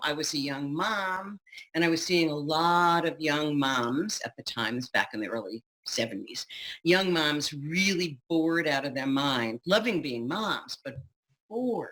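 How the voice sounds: At a fairly slow pace, a woman with a low pitch and a fairly bright tone speaks with lively intonation.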